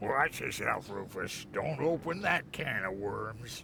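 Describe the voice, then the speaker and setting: Through clear background noise, a man puts on a character voice, speaking fairly slowly at a medium pitch. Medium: video game. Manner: sarcastic, scornful.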